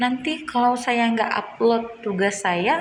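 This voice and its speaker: Audible room echo surrounds this voice. A woman speaks at a fairly high pitch. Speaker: student. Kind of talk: spoken assignment video. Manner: halting.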